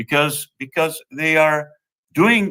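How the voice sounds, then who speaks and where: In a Spanish accent, a man speaks at a fairly slow pace with a fairly high pitch and a bright, sharp tone. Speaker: think tank executive director. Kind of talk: lecture. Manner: halting.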